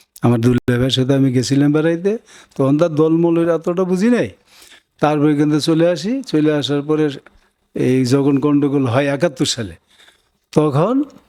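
A man talks with a fairly high pitch and ordinary pitch variation. His tone is dark and mellow. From Bangladesh, Jhenaidah district (Khulna division). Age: 70s. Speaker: war veteran, retired warrant officer. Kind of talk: oral history interview.

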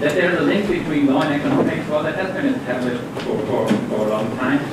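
A man at a very fast pace with ordinary pitch variation, loud background noise and audible room echo. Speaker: conference presenter. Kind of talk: lecture. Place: hall.

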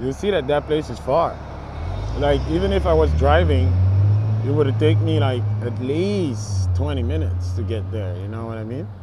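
A man with a fairly low pitch talks at a moderate pace, in a dry sound with no echo and noticeable background noise. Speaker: vlogger. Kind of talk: casual vlog chat. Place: street. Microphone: earbuds.

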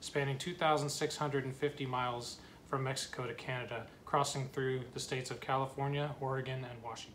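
A man speaks in a monotone, flat intonation. Light background noise runs beneath him. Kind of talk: casual vlog chat. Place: home room. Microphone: phone near.

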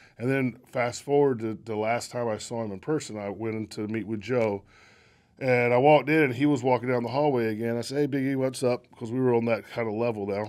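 Speaking very fast with a North Carolina accent, a man keeps a fairly even intonation over a quiet background. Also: medium pitch for a man. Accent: Southern US (North Carolina). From North Carolina, Locust. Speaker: baseball executive; interview guest. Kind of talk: casual chat. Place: studio. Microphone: studio mic.

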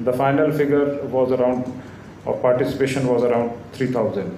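A man's voice with light background noise and audible room echo. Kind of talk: formal speech. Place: hall. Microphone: podium.

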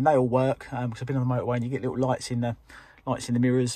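A man talking at a very fast pace in a dark, mellow, somewhat breathy tone, monotone and flat, with a dry sound and no echo. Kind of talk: casual vlog chat. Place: car. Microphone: phone near.

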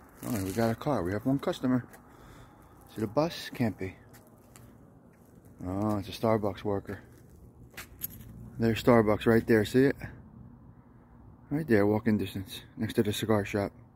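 A man's fairly low voice with ordinary pitch variation, a moderate pace and long, frequent pauses, dry with no echo, over light background noise. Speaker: vlogger. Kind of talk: casual vlog chat. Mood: jokey, proud of neighborhood. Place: street. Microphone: phone near.

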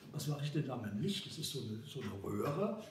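A man's medium-pitched voice amid audible room echo and light background noise. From Germany. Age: 80s+. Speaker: cinematographer. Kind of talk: interview answer. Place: home room.

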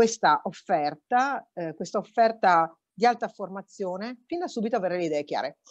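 A woman speaks with very wide pitch swings. The background is quiet. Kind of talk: conference speech. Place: office. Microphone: earbuds.

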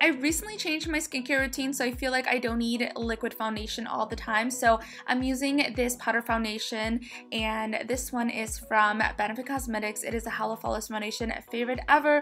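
Faint music plays in the background as a woman talks at a fairly quick pace with fairly even intonation. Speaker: beauty vlogger. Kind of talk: makeup tutorial. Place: home room.

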